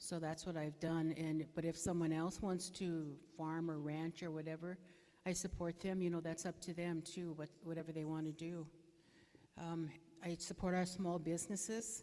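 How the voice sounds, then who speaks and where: The voice has a dark, mellow tone and moves at a moderate pace in a flat monotone. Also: woman, fairly low pitch for a woman. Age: 60s. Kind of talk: candidate forum speech. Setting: community hall forum with audience, live broadcast. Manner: hesitant, many fillers.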